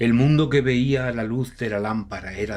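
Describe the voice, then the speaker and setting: In a Castilian accent, a man talks at a fairly slow pace with lively intonation. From Spain. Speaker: audiobook narrator. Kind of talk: horror audiobook narration.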